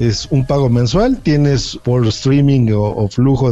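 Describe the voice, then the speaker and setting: In a Mexican accent, a man speaks at a fairly slow pace. His tone is dark and mellow, with ordinary pitch variation. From Mexico. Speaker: podcast guest. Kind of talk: casual chat.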